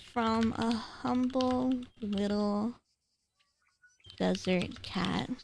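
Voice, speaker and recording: A woman's medium-pitched voice, very slow, with long and frequent pauses. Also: lively intonation. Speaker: streamer. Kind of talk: casual livestream chat while gaming.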